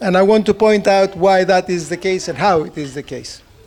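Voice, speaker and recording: A man with a Greek accent speaks at a moderate pace in a high pitch with ordinary pitch variation, over noticeable background noise. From Greece. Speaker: economist. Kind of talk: conference talk. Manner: speeds up when excited.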